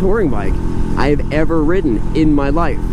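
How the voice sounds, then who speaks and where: Against loud background noise, a man speaks with ordinary pitch variation in a dry sound with no echo. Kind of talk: casual ride commentary. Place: motorbike.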